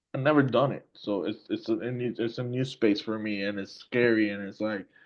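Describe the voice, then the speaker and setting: Speaking at a fairly quick pace, a man talks in a Puerto Rican accent. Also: medium pitch for a man. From Puerto Rico. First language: Spanish. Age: 40s. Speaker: musician. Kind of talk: casual chat. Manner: animated.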